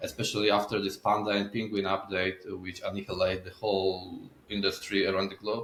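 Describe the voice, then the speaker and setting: A man with a Polish accent talks at a fairly quick pace in a monotone, flat intonation. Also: fairly low pitch for a man. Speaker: SEO agency owner. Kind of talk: podcast interview. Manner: halting. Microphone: internet issues.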